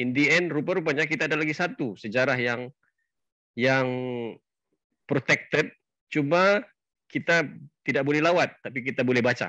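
The tone is bright and sharp, the pace moderate, and the pitch varies in an ordinary way. The sound is dry, with no echo, over a quiet background. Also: man. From Sabah, Malaysia (Bisaya parents). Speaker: event host, travel club founder; channel host explaining history. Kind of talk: introduction speech. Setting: Facebook live session. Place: home room. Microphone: headset.

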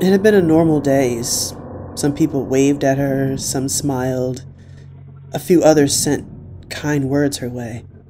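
A fairly slow delivery against noticeable background noise. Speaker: horror story narrator. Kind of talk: scripted first-person horror story narration, read aloud. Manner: hushed, tense, suspenseful.

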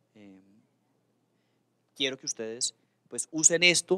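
A man talks at a fairly slow pace. Behind him, the background is quiet. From Colombia, Cali (Valle del Cauca); Colombia. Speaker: government official. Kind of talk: official speech. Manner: halting, many fillers. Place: hall. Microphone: handheld.

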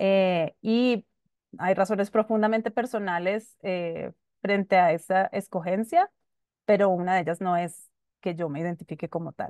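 A woman talks in an ordinary speaking voice at medium pitch and a fairly slow pace, with fairly even intonation. The background is quiet and the sound is dry, with no echo. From Colombia, Bogotá. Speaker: human rights lawyer; panelist. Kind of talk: panel discussion. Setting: video call. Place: home room. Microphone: video call.

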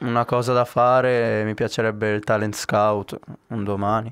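A man speaks at a very slow pace in a monotone, flat intonation. Behind him, the background is quiet. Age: 20s. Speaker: youth footballer. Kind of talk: casual interview. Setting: training center. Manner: halting. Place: studio. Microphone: handheld.

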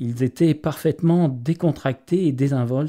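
A man with a fairly high pitch and a dark, mellow tone is heard on a very clean recording with a silent background. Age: 50s. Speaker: police officer and bereaved father. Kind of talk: video appeal. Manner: formal.

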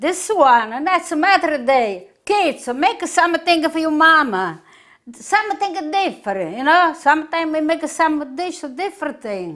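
Against a quiet background, a woman with a strong southern Italian accent speaks at a fairly slow pace, her extremely high pitch carrying lively intonation. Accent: heavy southern Italian accent in English. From southern Italy, Puglia. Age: 80s+. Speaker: home cook; home cook host. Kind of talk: cooking tutorial. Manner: halting. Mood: warm, cheerful. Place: kitchen.

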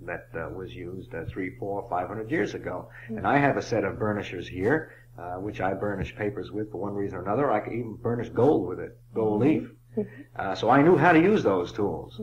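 Over light background noise, a man talks at a fairly quick pace with a fairly low pitch and lively intonation. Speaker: author and illustrator. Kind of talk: interview answer. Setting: old cassette recording. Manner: hesitant, thoughtful. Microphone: old recording.

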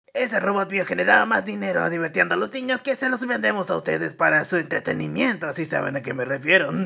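Over light background noise, a cartoonish character voice at a middle pitch races along very fast. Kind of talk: fan dub of animated series character. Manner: upbeat, showy emcee delivery.

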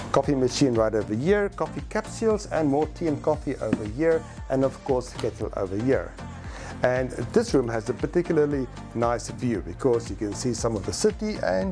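Clear music runs behind the speech. The man talks at a moderate pace. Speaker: hotel reviewer. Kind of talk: travel vlog commentary. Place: hall. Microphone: lapel.

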